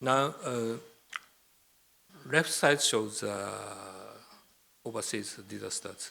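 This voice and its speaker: A man at medium pitch speaks at a very slow pace with long, frequent pauses and ordinary pitch variation, in a room with audible echo. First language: Japanese. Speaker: professor. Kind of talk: lecture. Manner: halting.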